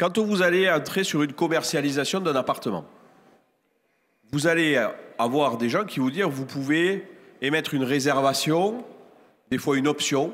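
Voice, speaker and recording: Speaking in a southern French accent at a fairly high pitch, a man talks at a fairly slow pace with long, frequent pauses, lively intonation and very even loudness. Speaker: real estate professional on a conference panel. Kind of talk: panel talk at a trade fair conference.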